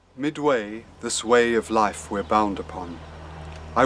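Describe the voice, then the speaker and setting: A man's fairly slow, lively-toned speech over music in the background. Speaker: poetry reader. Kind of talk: poetry reading. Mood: calm, solemn. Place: garden. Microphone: phone near.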